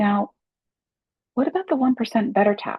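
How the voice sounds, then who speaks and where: A woman speaks in a gentle, somewhat breathy tone. Her intonation is lively. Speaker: life coach. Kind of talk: casual talk to camera. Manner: gentle, encouraging.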